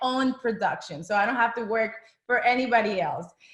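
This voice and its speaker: The speaker has a Spanish accent and ordinary pitch variation. The pace is moderate. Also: woman. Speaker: former actress, direct sales seller. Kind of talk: business presentation. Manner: casual, enthusiastic.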